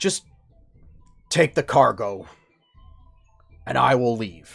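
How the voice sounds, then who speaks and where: In a raspy, put-on character voice, the lines come at a fairly slow pace. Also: man, medium pitch for a man. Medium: actual play. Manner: stiff, holding back fear.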